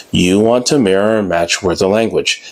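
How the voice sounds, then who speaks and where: The speaker moves at a fairly quick pace. There is noticeable background noise. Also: man. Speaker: sales trainer for gym staff. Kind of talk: tutorial. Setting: in front of a whiteboard on camera. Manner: fast; animated.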